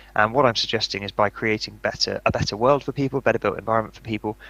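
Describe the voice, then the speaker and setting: In a British accent, a man delivers his words at a fairly low pitch with a bright, sharp tone and monotone, flat intonation, the sound dry and close with no echo. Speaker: author and speaker on mentally healthy buildings. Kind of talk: conference talk. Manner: fast.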